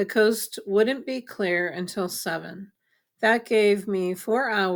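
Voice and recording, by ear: The background is quiet. Against it, someone is reading aloud in a natural voice.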